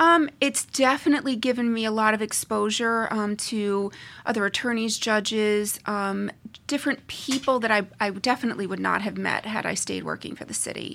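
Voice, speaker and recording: A woman's fairly high, bright, sharp voice with an American accent, ordinary pitch variation and a moderate pace, on a very clean recording with a silent background. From US Northeast. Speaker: family lawyer. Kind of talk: interview. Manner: halting, many fillers.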